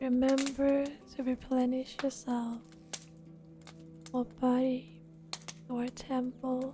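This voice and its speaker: Music plays behind a soft-spoken woman with a high pitch and monotone, flat intonation. She speaks at a very slow pace with long, frequent pauses. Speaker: reiki ASMR practitioner. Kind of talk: guided energy healing ASMR.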